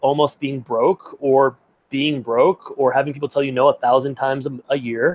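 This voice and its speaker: A man with an American accent is recorded with a dry, close sound and no echo. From US Midwest, Peoria, Illinois. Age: 30s. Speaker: branding expert and speaker. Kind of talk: podcast interview.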